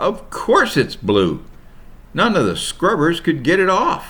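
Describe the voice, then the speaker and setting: Putting on a character voice, a man speaks at a fairly slow pace with a high pitch. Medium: read story. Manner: mopey, dejected.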